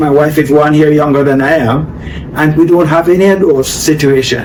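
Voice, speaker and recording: A man's fairly high-pitched voice with ordinary pitch variation, amid noticeable background noise and audible room echo. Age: 70s. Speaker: organic farmer. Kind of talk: interview.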